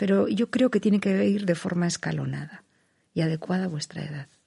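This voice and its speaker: At a moderate pace, a woman talks with medium pitch and vocal fry. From Basque Country, Spain (Vitoria-Gasteiz). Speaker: poet and writer. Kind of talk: interview. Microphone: muffled by face mask.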